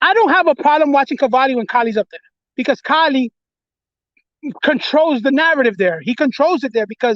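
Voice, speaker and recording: Dry and close with no echo, a man's extremely high voice with a New York accent moves at a fairly quick pace with lively intonation. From New York, the Bronx. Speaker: livestream host. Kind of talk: casual chat. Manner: sounds angry; repetitive stammering restarts.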